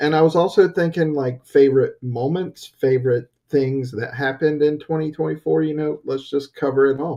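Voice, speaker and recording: A dark, mellow voice with an American accent and fairly even intonation. The pace is moderate, with hardly any pauses. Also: man, fairly high pitch for a man. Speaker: podcast co-host. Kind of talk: casual chat.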